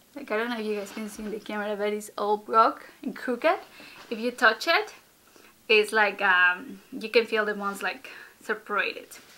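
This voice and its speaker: Speaking in a Spanish accent at a moderate pace, a woman uses a fairly high pitch with ordinary pitch variation and big swings in loudness. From Ecuador. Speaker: vlogger. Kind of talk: casual vlog talk to camera. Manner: hesitant, many fillers.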